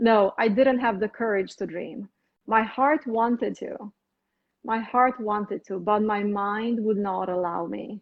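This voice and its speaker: This speaker has a Romanian accent and goes at a fairly slow pace with ordinary pitch variation. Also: woman, fairly high pitch for a woman. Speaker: physician. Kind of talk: interview.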